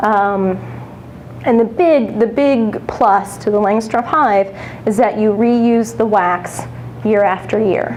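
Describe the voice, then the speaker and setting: A woman at a fairly high pitch and a very slow pace, with very even loudness, amid audible room echo and noticeable background noise. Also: ordinary pitch variation. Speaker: professional beekeeper. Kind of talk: lecture.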